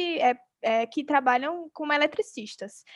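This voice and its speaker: Recorded dry and close with no echo over a quiet background, a woman speaks with a high pitch. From Brazil, Alagoas (Arapiraca). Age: 20s. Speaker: podcast host, entrepreneur. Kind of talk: interview conversation.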